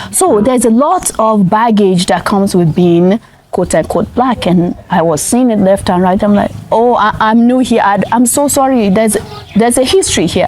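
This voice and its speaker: With noticeable background noise behind her, a woman with a fairly high pitch speaks at a moderate pace in an animated tone with lively intonation and very even loudness. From Nigeria. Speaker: interviewee. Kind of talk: casual chat.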